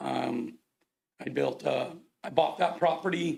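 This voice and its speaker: There is vocal fry in this man's voice, which sits at a fairly high pitch. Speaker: contractor and developer giving public comment. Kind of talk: public comment at council meeting. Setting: city council meeting podium. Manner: halting, many fillers.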